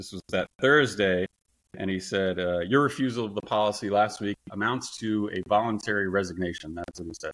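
A man's plain, everyday voice with an American accent, fairly low in pitch with ordinary pitch variation and big swings in loudness, at a moderate pace, dry, close sound with no echo, on a very clean recording with a silent background. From USA. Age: 40s. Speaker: wrongfully fired worker who won a lawsuit. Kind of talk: interview conversation.

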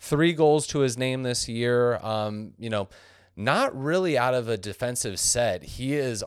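In a very clean recording with a silent background, a man with a normal speaking voice talks at a fairly slow pace, his medium pitch showing ordinary variation. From San Diego, California. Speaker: soccer podcast co-host. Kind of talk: casual chat; match preview.

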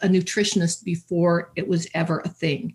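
Speaking with a Canadian accent, a woman sounds somewhat breathy. Her pace is moderate. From Canada, southern Alberta. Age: 70s. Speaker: life coach. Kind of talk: interview. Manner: halting.

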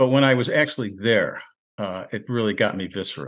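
Medium-pitched man's voice with vocal fry, ordinary pitch variation and an American accent. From US Northeast, Rochester, New York. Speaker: war veteran and retired English professor. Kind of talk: interview. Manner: halting, many fillers and restarts.

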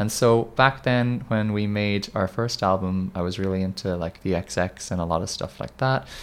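Using a normal speaking voice, a man talks at a moderate pace with hardly any pauses, a fairly low pitch and ordinary pitch variation. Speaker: indie band musician. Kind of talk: casual interview.

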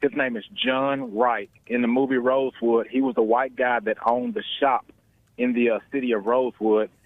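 An American-accented man speaks in an unremarkable speaking voice at a moderate pace, with a medium pitch, fairly even intonation and very even loudness. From US South. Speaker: caller. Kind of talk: phone-in call. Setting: phone call.

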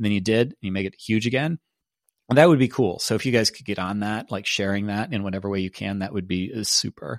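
A man with a fairly low pitch speaks at a very fast pace with ordinary pitch variation and big swings in loudness. The sound is dry and close, with no echo. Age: 40s. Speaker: podcast host and author. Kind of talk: casual solo monologue. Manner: conversational with fillers and restarts.

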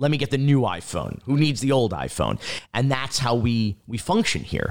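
An American accent marks this man's ordinary speaking voice, which sits at a medium pitch. He talks at a moderate pace with ordinary pitch variation. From South Florida (North Miami Beach). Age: 40s. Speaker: documentary filmmaker. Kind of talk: interview.

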